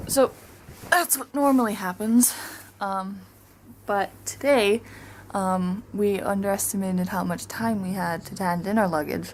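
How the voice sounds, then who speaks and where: Soft-spoken and at a fairly slow pace, a woman talks at a medium pitch with ordinary pitch variation and long, frequent pauses. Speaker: travel vlogger. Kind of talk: casual vlog monologue. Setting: hotel hallway. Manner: chatty, halting with fillers.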